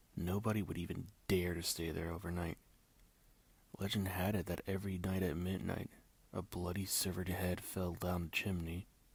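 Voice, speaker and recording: A man's very deep, low voice, somewhat breathy, in a monotone, flat delivery at a moderate pace. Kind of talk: ASMR scary story reading.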